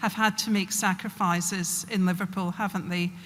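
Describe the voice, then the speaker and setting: With a Glasgow accent, a woman speaks slowly-ish at a fairly slow pace, medium pitch and flat, monotone intonation, in a very clean recording with a silent background. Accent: broad Glasgow. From Scotland, Glasgow. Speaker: public health official. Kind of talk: speech.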